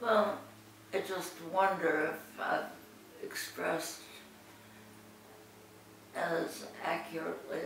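Noticeable background noise and audible room echo accompany delivery that is very slow. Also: woman. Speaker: interviewee. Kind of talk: interview answer. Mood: reflective, calm. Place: home room. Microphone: camera far.

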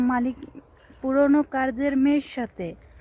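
A woman speaks with a dark, mellow tone. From Bangladesh. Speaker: migrant domestic worker and vlogger. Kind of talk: personal vlog testimony. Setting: outdoors in a quiet place.

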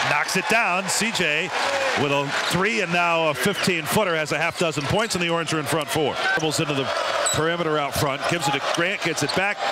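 A man's high-pitched voice at a fairly quick pace, very even in loudness, over noticeable background noise. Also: ordinary pitch variation. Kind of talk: live sports commentary. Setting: arena broadcast, radio or TV call. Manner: rapid-fire play-by-play, clipped and excitable on dunks and threes.

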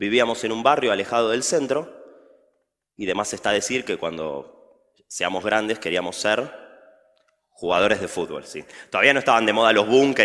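A man with a fairly low pitch and a bright, sharp tone talks at a fairly quick pace with ordinary pitch variation against a quiet background. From Argentina. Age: 20s. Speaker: chess teacher; speaker. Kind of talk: public talk. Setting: stage with audience. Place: stage.

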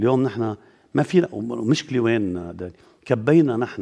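A man speaks in a dark, mellow tone with lively intonation. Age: 60s. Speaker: politician. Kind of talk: TV interview. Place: studio.

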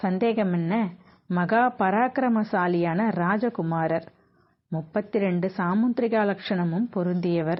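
A natural reading voice, its pitch rising and falling in an ordinary way

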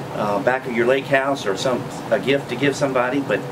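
A man talks while noticeable background noise carries on. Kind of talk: interview answer. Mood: friendly, promotional. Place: shop.

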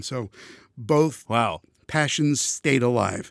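In a very clean recording with a silent background, a man talks with vocal fry. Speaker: voice actor. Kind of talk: casual chat.

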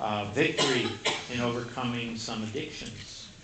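At a fairly slow pace, a man talks over noticeable background noise. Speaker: pastor. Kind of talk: sermon. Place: church.

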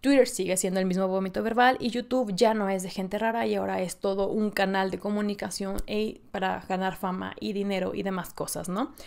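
A woman talks at a fairly quick pace with hardly any pauses against a quiet background. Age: 20s. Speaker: podcast host. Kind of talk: casual solo monologue. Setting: solo in front of camera and mic. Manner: animated. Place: home room.

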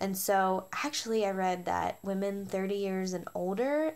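Speaking at a fairly slow pace, a woman uses ordinary pitch variation. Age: 20s. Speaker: beauty product vlogger. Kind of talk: product review. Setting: at home after shower. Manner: animated. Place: home room. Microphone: phone near.

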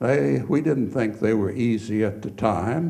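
The tone is dark and mellow, and room echo can be heard. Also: man. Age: 70s. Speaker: petroleum geologist. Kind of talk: lecture. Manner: informal.

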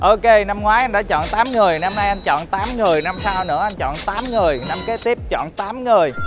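A man speaks with a high pitch and ordinary pitch variation at a moderate pace. Clear music plays in the background. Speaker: music show coach. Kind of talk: interview answer. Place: studio. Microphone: lapel.

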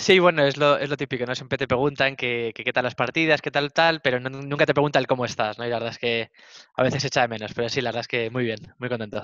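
The speech comes at a very fast pace with fairly even intonation. The sound is dry with no echo, and the background is quiet. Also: man, medium pitch for a man. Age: 30s. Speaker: esports coach. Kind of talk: interview. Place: office. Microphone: headset.

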